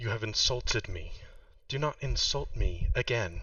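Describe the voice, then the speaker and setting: Using a put-on character voice, a man talks at a moderate pace. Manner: soft yet loud, admonishing.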